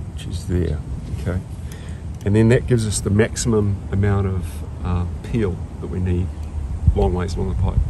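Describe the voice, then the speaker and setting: Noticeable background noise sits under a man's very deep, low voice, dry with no echo. He talks at a moderate pace with ordinary pitch variation and long, frequent pauses. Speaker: pipe welding trainer. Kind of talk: tutorial. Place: street.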